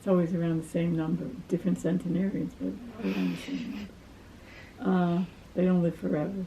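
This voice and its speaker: Fairly quick speech in an American accent with ordinary pitch variation, long, frequent pauses and noticeable background noise. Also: woman, fairly low pitch for a woman. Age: 80s+. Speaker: retired community volunteer. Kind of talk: life story interview. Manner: halting.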